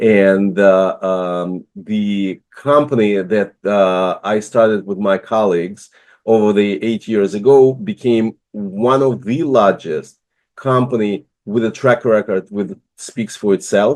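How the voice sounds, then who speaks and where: A man's fairly low-pitched voice at a very slow pace, in a Russian accent. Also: ordinary pitch variation. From Russia, Moscow. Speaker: business immigration consultant, investor. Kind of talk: online presentation. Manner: halting, many fillers.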